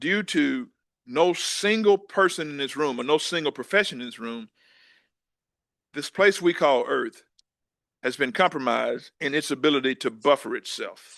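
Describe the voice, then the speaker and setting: A man with a fairly high voice speaks at a moderate pace with lively intonation and long, frequent pauses, the sound dry and close with no echo over a quiet background. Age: 60s. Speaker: former agriculture official, speaker. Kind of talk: keynote talk. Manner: halting, repeats words.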